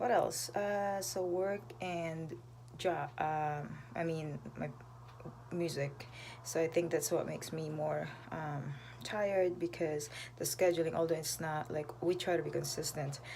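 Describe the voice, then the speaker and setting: A soft-spoken woman with a very deep, low pitch and vocal fry, at a fairly slow pace with ordinary pitch variation, in audible room echo. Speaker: vlogger and singer. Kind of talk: casual live stream chat. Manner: hesitant, many fillers.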